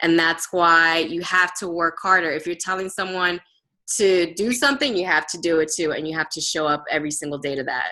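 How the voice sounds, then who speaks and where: Speaking with a Spanish accent, a woman has a bright, sharp tone at a fairly low pitch. Her pace is fairly quick. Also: ordinary pitch variation. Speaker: fitness team coach. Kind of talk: workshop discussion.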